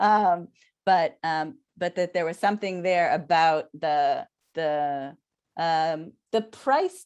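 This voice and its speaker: Against a quiet background, a woman with an Israeli accent speaks at a fairly low pitch with ordinary pitch variation. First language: Hebrew. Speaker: scholar. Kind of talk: casual chat. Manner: halting.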